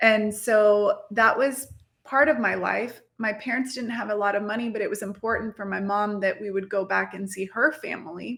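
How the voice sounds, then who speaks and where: At a moderate pace, a woman speaks with a fairly high pitch and fairly even intonation. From Mexico and Texas (grew up bilingual, moved to Texas as a child). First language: Spanish. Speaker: marketing entrepreneur, CEO and podcast host. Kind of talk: podcast interview.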